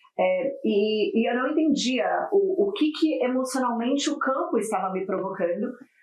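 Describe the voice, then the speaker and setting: Audible room echo surrounds a woman talking at a moderate pace in a high pitch. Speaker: corporate wellbeing speaker. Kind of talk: podcast interview.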